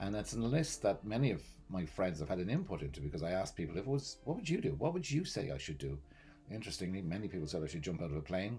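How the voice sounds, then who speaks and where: Over music in the background, a man with an Irish accent talks at a very fast pace. His very deep, low voice makes very wide pitch swings. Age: 60s. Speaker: vlogger. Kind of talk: personal vlog monologue.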